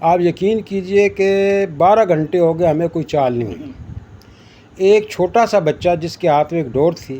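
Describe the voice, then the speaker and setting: A man speaks at a high pitch with a dark, mellow tone. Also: ordinary pitch variation. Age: 60s. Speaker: veteran angler. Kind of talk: casual talk.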